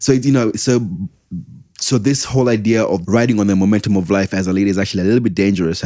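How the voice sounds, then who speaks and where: A man talks at a very fast pace and a fairly low pitch. His tone is dark and mellow, his intonation fairly even. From Kenya. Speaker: church production leader. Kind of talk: podcast interview answer.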